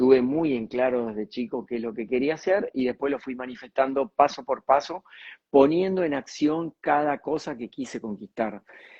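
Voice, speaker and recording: A man speaks with a Rioplatense accent at medium pitch. His pace is moderate and his pitch variation ordinary. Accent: Argentine Rioplatense Spanish. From Argentina, near Mar del Plata. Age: 60s. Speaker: communicator and speaker. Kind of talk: interview.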